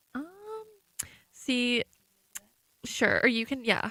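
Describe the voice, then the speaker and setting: A soft-spoken woman has a high voice with a bright, sharp tone. She talks at a fairly slow pace. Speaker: student journalist. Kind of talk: live election coverage commentary. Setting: radio studio.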